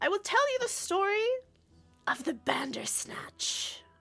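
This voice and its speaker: A whispered, put-on character voice at a fairly slow pace, with faint music in the background. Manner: announcing a story.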